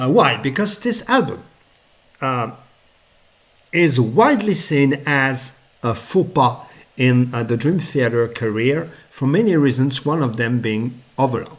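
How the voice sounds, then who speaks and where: A man with a non-native accent speaks at a fairly slow pace in a medium pitch, his intonation lively and broken by long, frequent pauses. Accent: noticeable non-native. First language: not English. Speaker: music reviewer. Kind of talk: casual video review. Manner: halting, many fillers.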